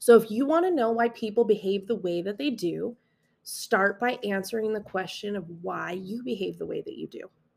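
On a very clean recording with a silent background, a woman with a General American accent talks at a moderate pace in a fairly high pitch, with ordinary pitch variation and vocal fry. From Las Vegas, Nevada, US. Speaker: podcast host, high school math teacher. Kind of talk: solo self-help monologue.

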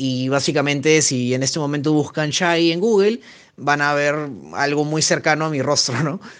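Here is a man with a normal speaking voice, pitched fairly high. He speaks at a fairly slow pace. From Peru. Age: 20s. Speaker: podcast co-host. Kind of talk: casual chat.

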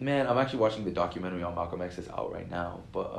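Speaking at a very fast pace, a man with an American accent uses a medium pitch, ordinary pitch variation and a somewhat breathy sound. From California, with teen years in Lagos, Nigeria. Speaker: engineering student. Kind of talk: casual chat.

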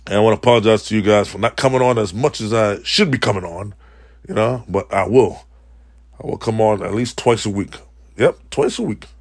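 With an American accent, a man talks at a fairly quick pace and medium pitch, keeping his intonation fairly even. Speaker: podcaster. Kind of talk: casual solo podcast monologue. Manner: informal, rambling, repeats words, profane.

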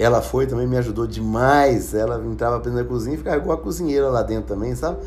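This voice moves at a very fast pace. Audible room echo surrounds it. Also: man. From Brazil, Minas Gerais (Ribeirão das Neves). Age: 50s. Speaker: podcast host. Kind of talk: casual personal storytelling. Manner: halting, frequent fillers.

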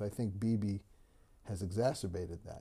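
In a very clean recording with a silent background, a man with a New York accent speaks at a fairly low pitch in a dark, mellow tone that is somewhat breathy. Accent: New York American English. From New York (Great Neck, Long Island). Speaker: business executive and lawyer. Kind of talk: interview conversation. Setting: home, in person. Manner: halting, many fillers.

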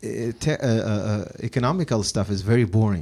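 Speaking with an Arabic accent, a man has a fairly low pitch and a dark, mellow tone. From Iraq. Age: 30s. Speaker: podcast host. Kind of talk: casual interview.

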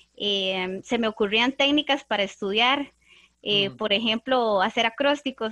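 In a dry, close sound with no echo, a woman speaks at a moderate pace. Her fairly high voice is bright and sharp, with lively intonation. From Costa Rica, Desamparados. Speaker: literature teacher, podcast co-host. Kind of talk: casual panel discussion.

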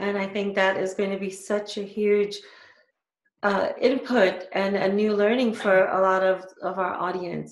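At a fairly slow pace, a woman with an unremarkable speaking voice talks in a medium pitch. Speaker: podcast host. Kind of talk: interview. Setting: video call.

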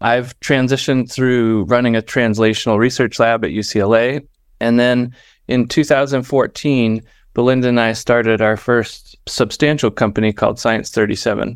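An unremarkable speaking voice from a man with an American accent, very even in loudness, at a moderate pace over a quiet background. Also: medium pitch for a man. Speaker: startup co-founder. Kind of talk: casual interview.

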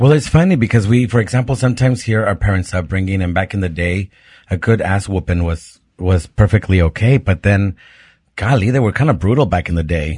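Over a quiet background, a man speaks quickly at a fairly low pitch, somewhat breathy, with ordinary pitch variation. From Mexico. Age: 30s. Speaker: podcast co-host. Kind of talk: casual chat. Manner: animated.

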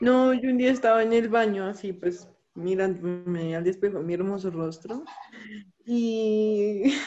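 At a fairly slow pace, a woman speaks in a plain, everyday voice at a medium pitch with ordinary pitch variation. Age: 20s. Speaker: graphic design student. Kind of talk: casual chat.

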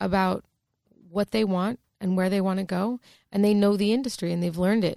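Over a silent background in a very clean recording, a woman speaks with an American accent, a medium pitch and fairly even intonation. Her tone is dark and mellow, and the sound is dry and close with no echo. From US. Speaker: podcast co-host. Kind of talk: casual interview chat. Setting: studio.

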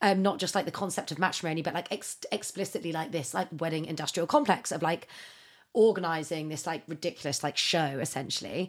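A woman with a British accent talks at a very fast pace in an animated tone. Her pitch is fairly low, with ordinary pitch variation. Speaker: podcast co-host. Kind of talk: casual chat. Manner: animated, fast, chatty.

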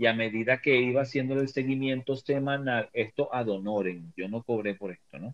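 A man's medium-pitched voice at a moderate pace, with hardly any pauses, big swings in loudness and ordinary pitch variation. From Venezuela. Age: 50s. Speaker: tarot reader and motivational coach. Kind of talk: casual chat. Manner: halting.

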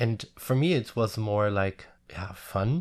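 In a German accent, a man speaks at a fairly low pitch. The background is quiet. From Germany, village near Frankfurt am Main. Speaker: hairdresser. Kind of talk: interview. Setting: studio. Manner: halting.

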